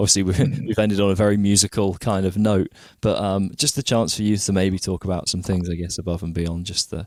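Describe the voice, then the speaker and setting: In a dry, close sound with no echo, a man talks fairly quickly in a fairly low pitch. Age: 20s. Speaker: podcast host and guitar teacher. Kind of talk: casual interview chat. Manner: halting, many fillers.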